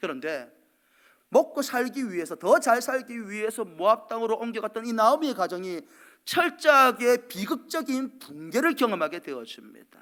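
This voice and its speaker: An extremely high-pitched man's voice with very wide pitch swings and a bright, sharp tone, at a moderate pace on a very clean recording with a silent background. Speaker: pastor. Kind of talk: sermon. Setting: church.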